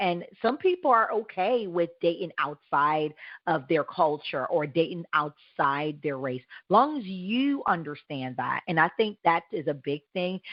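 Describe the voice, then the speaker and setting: A woman speaks with an American accent at a fairly slow pace. Her intonation is lively. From US. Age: 40s. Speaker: talk show host. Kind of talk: interview. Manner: halting.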